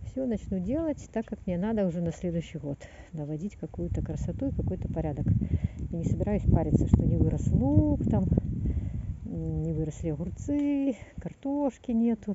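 A woman speaks at a moderate pace with long, frequent pauses, the sound dry with no echo and loud noise in the background. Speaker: gardener vlogger. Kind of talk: casual vlog chat. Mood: resigned, relaxed about garden. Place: garden. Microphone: phone near.

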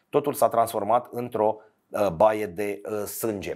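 Moderate-paced speech from a man, with a quiet background. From Romania. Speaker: sports storyteller. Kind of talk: scripted narration. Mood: somber, serious. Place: studio. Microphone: lapel.

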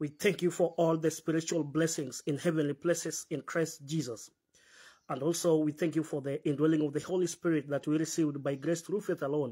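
Over a quiet background, a man talks at a fairly quick pace in a monotone, flat intonation. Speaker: preacher leading a Bible fellowship. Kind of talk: prayer and sermon. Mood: earnest, devout. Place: hall. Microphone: phone near.

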